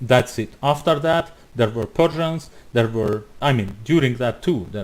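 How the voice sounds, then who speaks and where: Speaking at a fairly slow pace with a non-native accent, a man shows ordinary pitch variation. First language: not English. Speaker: YouTuber responding to a video. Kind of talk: reaction commentary. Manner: halting.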